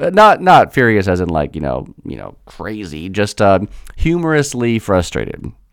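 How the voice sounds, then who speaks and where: A man with an American accent and very wide pitch swings. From United States. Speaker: language teacher and podcast host. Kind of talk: storytelling monologue. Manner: animated.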